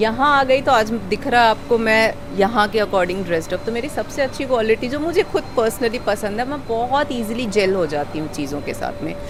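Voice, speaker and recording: With audible room echo and noticeable background noise, a woman with a fairly high pitch and lively intonation talks at a moderate pace with hardly any pauses. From Sikkim, northeast India. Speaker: school teacher. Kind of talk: interview. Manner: conversational with fillers.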